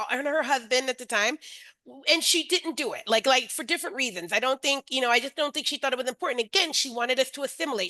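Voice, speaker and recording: In an American accent, a woman projects a raised, high-pitched voice with a bright, sharp tone, recorded with a dry, close sound and no echo. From US East Coast. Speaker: webinar host and early childhood educator. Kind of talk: webinar discussion. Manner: conversational, many fillers.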